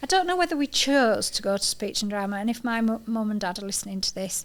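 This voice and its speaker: The speaker is a woman with a medium pitch. She talks with a northern English accent. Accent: proper northern. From Yorkshire, northern England (York). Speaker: podcast host. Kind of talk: casual chat.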